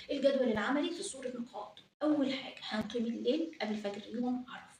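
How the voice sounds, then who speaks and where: A high-pitched woman with an Egyptian accent at a moderate pace, with audible room echo. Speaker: religious YouTuber. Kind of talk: religious advice talk.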